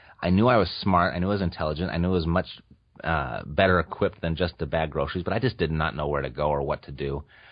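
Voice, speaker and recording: The speaker talks at a very fast pace with ordinary pitch variation. Vocal fry is present in the voice. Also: man. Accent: American. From Orange County, California. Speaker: real estate investor and podcaster. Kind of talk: interview. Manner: halting.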